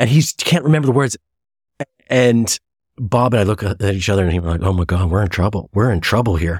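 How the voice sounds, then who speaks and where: A man speaks at a fairly quick pace with a fairly low pitch and a somewhat breathy quality. His intonation is lively, and the recording is very clean with a silent background. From US Midwest (Chicago). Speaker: actor and podcast host. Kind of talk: casual chat. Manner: halting, many false starts; animated.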